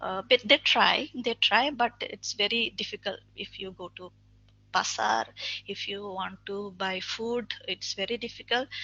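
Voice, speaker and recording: The speaker has a Bangladeshi accent and a fairly slow pace. Pitch varies in an ordinary way. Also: woman, fairly high pitch for a woman. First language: Bengali. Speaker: webinar speaker. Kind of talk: webinar talk. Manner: halting.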